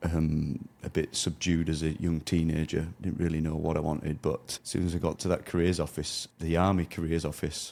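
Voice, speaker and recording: A man with a Yorkshire accent, a very deep, low pitch, a dark, mellow tone, flat, monotone intonation, very even loudness and hardly any pauses. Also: moderate pace, very clean recording, silent background. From northern England, near York. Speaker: former soldier turned logistics business owner. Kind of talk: interview. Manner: halting, with self-corrections.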